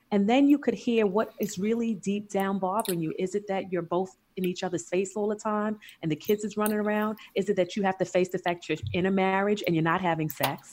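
A woman with a New York accent talks at a fairly quick pace with hardly any pauses. Her voice sits at medium pitch with fairly even intonation. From New York, Queens. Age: 40s. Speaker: lifestyle coach. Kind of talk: casual chat. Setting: remote recording from home.

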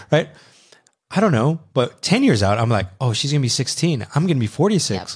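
This man's pitch is fairly high and swings very widely. He talks at a fairly quick pace and sounds somewhat breathy. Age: 30s. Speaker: podcast co-host. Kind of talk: casual chat.

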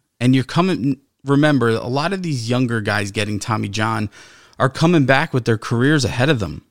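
With a normal speaking voice at medium pitch, a man talks at a fairly quick pace with lively intonation, the sound dry and close with no echo on a very clean recording over a silent background. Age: 30s. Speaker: podcast co-host. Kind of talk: casual chat.

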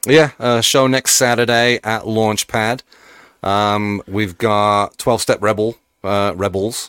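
Speech comes at a very slow pace with fairly even intonation. The recording is very clean and dry, heard up close against a silent background with no echo. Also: man, fairly low pitch for a man. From Birmingham, England. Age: 40s. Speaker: band member, musician. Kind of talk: casual chat.

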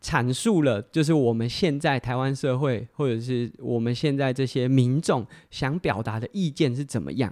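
This man's pitch is medium, with ordinary variation, and he keeps a moderate pace. The recording is very clean, with a silent background. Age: 30s. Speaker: podcast host and amateur athlete. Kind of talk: solo casual talk. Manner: hesitant with frequent fillers.

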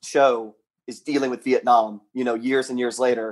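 An unremarkable speaking voice, this man has an American accent, medium pitch and a moderate pace. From US South, Charleston, South Carolina. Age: 30s. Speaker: caller. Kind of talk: casual chat.

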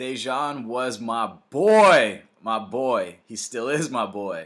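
The recording is very clean and the background silent. A man talks in an animated tone. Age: 20s. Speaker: podcast host. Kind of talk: solo motivational talk.

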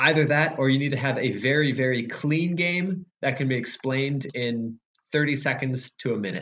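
With an American accent, this man has an unremarkable speaking voice, fairly high pitch, ordinary pitch variation and a moderate pace. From Chicago. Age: 20s. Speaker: board game designer. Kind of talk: interview.

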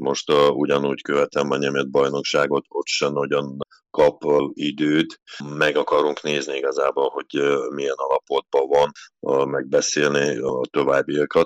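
A man talks at a fairly slow pace, and the sound is dry and close with no echo. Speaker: national handball team head coach. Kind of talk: interview. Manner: halting.

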